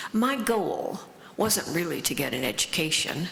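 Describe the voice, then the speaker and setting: The speaker has a US Midwestern accent and talks at a moderate pace with lively intonation. Noticeable background noise and audible room echo fill the recording. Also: woman. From US Midwest, Lafayette, Indiana. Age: 80s+. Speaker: author and recovery speaker. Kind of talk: conference talk. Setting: stage with audience. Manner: halting.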